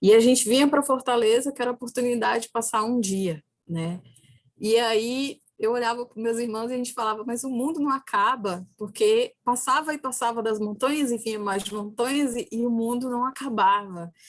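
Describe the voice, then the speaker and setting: A woman with an ordinary speaking voice, fairly high in pitch, at a moderate pace with ordinary pitch variation. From Brazil, Ceará backlands (sertão). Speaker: philosophy professor. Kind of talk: lecture.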